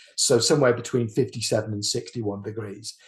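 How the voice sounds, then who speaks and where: Against a quiet background, a somewhat breathy man speaks at a fairly quick pace with a British accent. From UK. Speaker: engineer. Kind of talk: lecture. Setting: webinar. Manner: halting.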